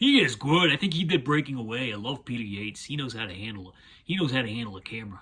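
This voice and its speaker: Bright and sharp in tone, a man's medium-pitched voice moves at a fairly quick pace with lively intonation. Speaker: online video creator. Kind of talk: casual monologue. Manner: halting.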